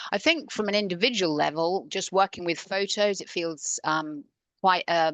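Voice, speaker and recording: She speaks at a moderate pace, with ordinary pitch variation. The woman's pitch is medium, in a normal speaking voice. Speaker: coach. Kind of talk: conference talk.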